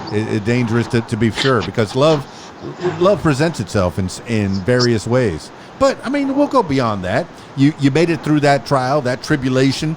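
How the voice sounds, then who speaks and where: A man speaks at medium pitch and a moderate pace, with lively intonation. Noticeable background noise runs under his voice. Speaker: podcast host and DJ. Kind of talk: casual interview talk.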